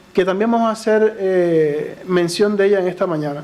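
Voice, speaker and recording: The speaker talks at a moderate pace in a Cuban accent. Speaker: lay preacher. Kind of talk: sermon. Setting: church. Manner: occasionally tongue-tied.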